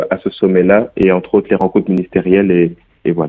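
A man with a Belgian accent talks at a fairly quick pace in a fairly low voice. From Belgium. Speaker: youth delegate. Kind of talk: interview. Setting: phone call. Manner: hesitant, some fillers.

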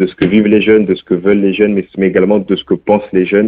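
A man speaks with a Belgian accent and a fairly low pitch. His intonation is monotone and flat. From Belgium. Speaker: youth delegate. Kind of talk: interview. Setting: phone call. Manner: hesitant, some fillers.

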